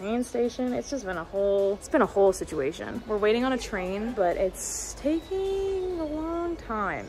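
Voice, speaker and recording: Faint music plays in the background as a woman talks at a moderate pace with hardly any pauses. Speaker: travel vlogger. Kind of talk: casual vlog chat. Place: station. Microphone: phone near.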